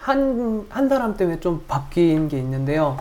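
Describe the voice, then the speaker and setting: Lively intonation runs through the woman's speech. Her tone is dark and mellow. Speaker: podcast panelist. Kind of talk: casual chat.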